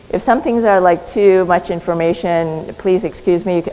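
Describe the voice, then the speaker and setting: Noticeable background noise sits behind a woman with a fairly low pitch. She speaks at a moderate pace with ordinary pitch variation. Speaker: physician and clinical researcher. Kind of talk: conference talk.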